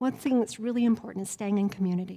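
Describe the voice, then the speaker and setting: A woman with an American accent speaks at a fairly quick pace in a somewhat breathy voice. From Colorado and Wyoming. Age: 50s. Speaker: trauma recovery coach. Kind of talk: workshop talk. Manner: animated.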